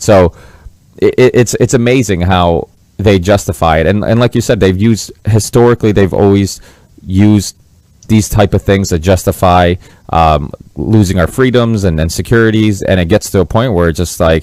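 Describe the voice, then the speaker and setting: A man with an American accent speaks in a normal speaking voice at a moderate pace, fairly low in pitch, with ordinary pitch variation and very even loudness. The sound is dry and close with no echo, on a very clean recording with a silent background. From Massachusetts, US. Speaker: podcast host. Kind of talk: interview podcast.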